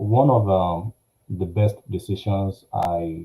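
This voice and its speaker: The voice is somewhat breathy with a dark, mellow tone. It moves at a very slow pace with fairly even intonation. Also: man. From Nigeria. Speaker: finance company executive. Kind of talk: personal testimony talk. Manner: halting, many fillers.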